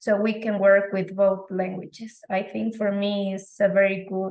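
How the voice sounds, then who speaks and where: With a Spanish accent, a woman talks at a medium pitch and moderate pace. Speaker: English teacher. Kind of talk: interview.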